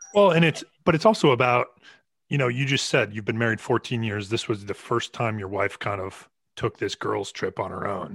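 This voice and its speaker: In an unremarkable speaking voice, a man talks at a moderate pace and medium pitch with lively intonation, the sound dry and close with no echo and the recording very clean against a silent background. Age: 30s. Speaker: podcast co-host. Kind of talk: casual chat.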